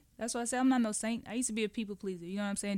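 The voice belongs to a woman. She keeps her intonation fairly even. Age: 30s. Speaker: clothing brand founder. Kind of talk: radio interview.

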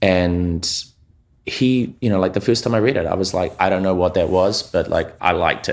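A man with a New Zealand accent, very deep and low pitched, at a moderate pace in a very clean recording with a silent background. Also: ordinary pitch variation. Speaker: commercial and music video director. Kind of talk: casual interview chat.

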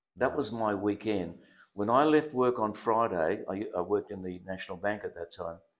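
A speaker with an Australian accent talks at a moderate pace with ordinary pitch variation, on a very clean recording with a silent background. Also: man, fairly low pitch for a man. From Western Australia, Perth (born in Germany, arrived very young). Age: 70s. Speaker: pastor. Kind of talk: casual interview, life story testimony. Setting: studio.

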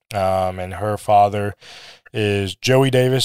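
A man's fairly low, monotone voice with flat intonation and an American accent, on a very clean recording with a silent background. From US Midwest (Minnesota, Missouri). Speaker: associate minister. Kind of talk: interview about preaching. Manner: hesitant with many fillers.

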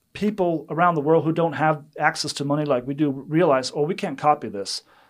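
Spoken at a fairly quick pace with a Danish accent. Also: man, very clean recording, silent background. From Denmark. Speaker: missions development director. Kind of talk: interview.

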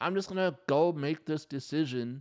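A man speaks at a moderate pace with a plain, everyday voice and ordinary pitch variation. The recording is very clean, with a silent background. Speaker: podcast host. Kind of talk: solo podcast talk with prayer. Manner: earnest, pleading; conversational, upbeat.

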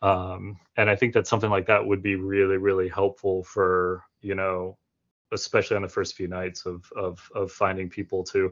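With an American accent, a man talks at a moderate pace in a very deep, low pitch, his intonation monotone and flat. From Florida. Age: 30s. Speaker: 3D model designer for wargaming terrain. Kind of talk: casual chat.

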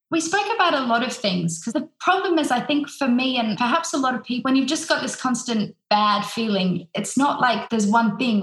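Delivered at a fairly quick pace, the speech has lively intonation and an Australian accent. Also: woman. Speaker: opera singer. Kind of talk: interview.

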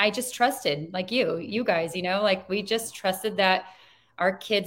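At a moderate pace, a woman with a Californian accent speaks at a medium pitch. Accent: Californian American English. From Southern California, Chino Valley. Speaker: school board candidate and parent. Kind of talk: interview.

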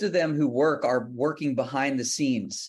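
A man with an American accent and an unremarkable speaking voice talks at a fairly high pitch with ordinary pitch variation. His pace is moderate, and the background is quiet. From Texas, Houston. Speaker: country singer-songwriter. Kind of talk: interview.

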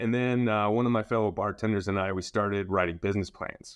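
A man speaks in a normal speaking voice at a fairly low pitch. His pace is fairly quick against a quiet background. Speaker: marketing analytics director. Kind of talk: casual interview conversation.

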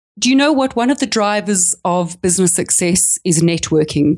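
In a South African accent, the speaker moves at a moderate pace with lively intonation, in a dry, close sound with no echo. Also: woman. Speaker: small business coach. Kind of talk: casual interview. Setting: remote call.

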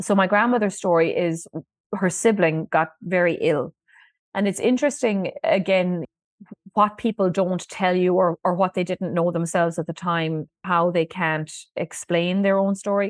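Recorded dry and close with no echo, the voice moves at a moderate pace with ordinary pitch variation over a quiet background. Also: woman, medium pitch for a woman. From Ireland, Listowel, County Kerry. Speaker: museum director and historian. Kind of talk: storytelling interview.

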